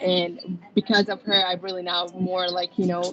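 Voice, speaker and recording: Over noticeable background noise, a woman with an American accent speaks fairly quickly at a medium pitch with fairly even intonation. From outside the US. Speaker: college student ambassador. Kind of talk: panel discussion. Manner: halting, many fillers.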